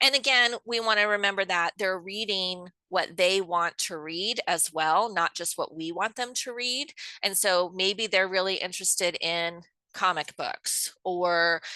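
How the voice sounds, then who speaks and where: A woman's medium-pitched voice with a bright, sharp tone, at a fairly slow pace with ordinary pitch variation, in a dry, close sound with no echo against a quiet background. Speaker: homeschool teacher. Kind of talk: lecture.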